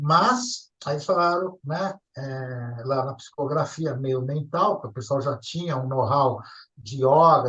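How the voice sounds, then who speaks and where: A man with an ordinary speaking voice and a fairly high pitch talks at a fairly slow pace. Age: 60s. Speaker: ufology contactee. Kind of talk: interview storytelling. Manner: casual, conversational.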